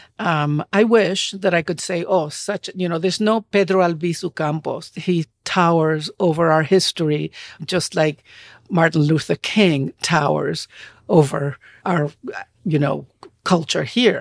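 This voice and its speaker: Speaking with a Spanish accent, a woman uses a fairly low pitch and ordinary pitch variation in a dry, close sound with no echo. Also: fairly slow pace. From Puerto Rico. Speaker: novelist. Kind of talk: interview.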